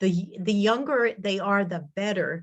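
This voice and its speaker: A woman with an American accent speaks at a moderate pace. She has an ordinary speaking voice, a medium pitch and ordinary pitch variation. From Massachusetts. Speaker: linguist. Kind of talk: Q&A after a talk.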